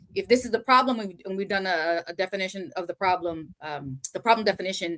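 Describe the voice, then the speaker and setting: Her tone bright and sharp, a woman talks at a fairly quick pace in a dry, close sound with no echo. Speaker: project management consultant. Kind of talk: casual chat. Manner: fast.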